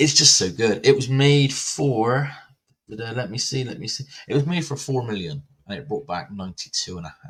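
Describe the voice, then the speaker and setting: A man with an English accent talks at a moderate pace, his voice somewhat breathy. His loudness swings widely. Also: medium pitch for a man, lively intonation. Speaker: horror movie podcast host. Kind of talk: casual movie review chat.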